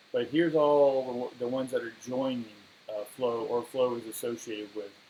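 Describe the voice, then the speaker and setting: At a moderate pace, a man uses an ordinary speaking voice at medium pitch with fairly even intonation. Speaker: crypto video host and esoteric coach. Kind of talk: casual monologue video.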